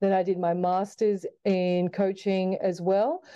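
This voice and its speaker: Speaking fairly slowly with an Australian accent, a woman has a medium pitch, a dark, mellow tone and monotone, flat intonation. The background is quiet. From Australia, Sydney. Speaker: basketball coach. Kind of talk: interview.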